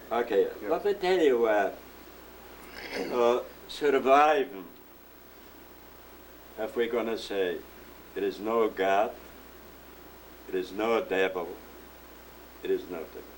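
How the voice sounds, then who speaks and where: Very slow speech from a man with a medium pitch. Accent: Polish. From Poland. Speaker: Holocaust survivor. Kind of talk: interview answer.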